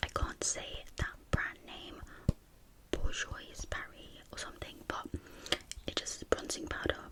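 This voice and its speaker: A woman whispers fairly slowly, pausing long and often, over noticeable background noise. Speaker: ASMR YouTuber. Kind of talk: casual talk to camera, ASMR collection video. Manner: casual, rambling, friendly.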